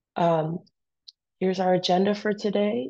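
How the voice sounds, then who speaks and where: Against a quiet background, a woman speaks with a dark, mellow tone at a fairly low pitch with vocal fry. Her pitch varies in an ordinary way at a moderate pace. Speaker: high school biology teacher. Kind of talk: recorded class lecture. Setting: pre-recorded for class while absent.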